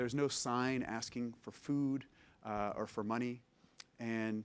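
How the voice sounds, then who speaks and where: Fairly even intonation from a man, pitched in the medium range. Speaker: palliative care physician. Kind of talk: lecture. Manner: soft-spoken.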